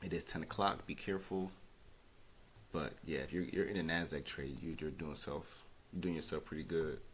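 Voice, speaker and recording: In a room with audible echo, a man speaks quietly at a moderate pace, his very deep, low voice showing vocal fry and fairly even intonation. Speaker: day trader. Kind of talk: live trading commentary. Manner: quiet, speaking low; casual, hesitant.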